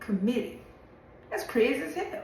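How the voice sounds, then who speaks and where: A woman's animated voice in an American accent, with very wide pitch swings, audible room echo and noticeable background noise. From Louisiana. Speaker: social media commentator. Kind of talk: opinion monologue video.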